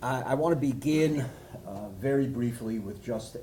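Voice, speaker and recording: A man talks with ordinary pitch variation. Audible room echo can be heard around him. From Canada, Montreal. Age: 60s. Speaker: rabbi, speaker. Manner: halting. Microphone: no microphone.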